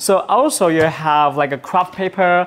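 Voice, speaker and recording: The speaker is a man. He uses ordinary pitch variation. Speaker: livestream host demonstrating laser products. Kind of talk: livestream product demo and sales pitch. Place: studio. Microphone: lapel.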